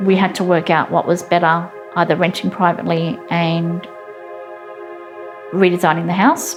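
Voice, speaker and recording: Music plays in the background. The speaker's intonation is lively and the pace moderate. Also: woman. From Australia. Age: 40s. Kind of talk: interview answer.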